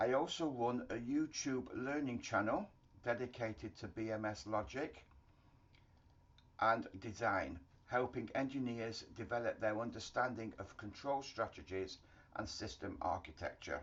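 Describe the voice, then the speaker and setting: A British accent at a fairly slow pace with ordinary pitch variation. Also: man, medium pitch for a man. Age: 60s. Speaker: HVAC engineering consultant. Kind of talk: promotional self-introduction. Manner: formal.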